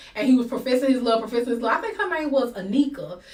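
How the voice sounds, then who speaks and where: A woman speaks at a high pitch with ordinary pitch variation, and audible room echo surrounds her voice. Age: 40s. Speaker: livestream talk show host. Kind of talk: live talk show discussion. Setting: livestream.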